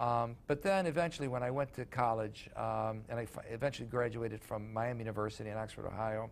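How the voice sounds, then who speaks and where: A man with an American accent talks at a very fast pace with hardly any pauses. His pitch is medium, with ordinary pitch variation. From Chicago, US Midwest. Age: 60s. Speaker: sports journalist and author. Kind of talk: interview. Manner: halting, many fillers.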